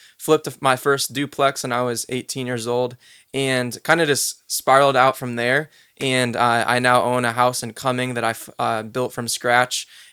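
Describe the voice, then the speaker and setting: A man speaks at a moderate pace in a medium pitch, his tone bright and sharp and his intonation monotone and flat. The sound is dry and close with no echo, on a very clean recording with a silent background. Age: 20s. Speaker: podcast co-host, real estate business owner. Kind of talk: casual chat. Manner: laid back.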